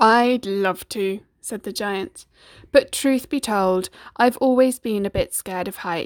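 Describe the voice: The voice reads aloud plainly, with ordinary pitch variation.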